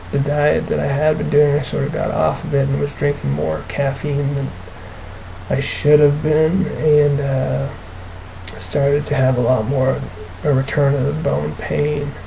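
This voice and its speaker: Speech comes at a fairly slow pace, with noticeable background noise and audible room echo. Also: man. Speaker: video blogger with chronic illness. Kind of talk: personal video diary. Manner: halting, many fillers.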